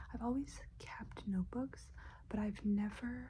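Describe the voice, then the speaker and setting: A soft-spoken woman in a relaxed tone at a very slow pace. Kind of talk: ASMR soft-spoken talk to camera. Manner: soft-spoken, rambling, relaxed.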